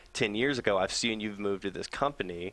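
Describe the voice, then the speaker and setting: On a very clean recording with a silent background, a man with a fairly low pitch speaks at a very fast pace with fairly even intonation. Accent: slight Southern US. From US South. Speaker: nonprofit program assistant. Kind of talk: interview.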